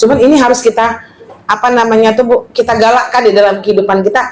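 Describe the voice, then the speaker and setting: This woman talks at a very fast pace in a fairly high voice. Her tone is animated. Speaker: female Islamic teacher. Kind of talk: religious study lecture. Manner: loud.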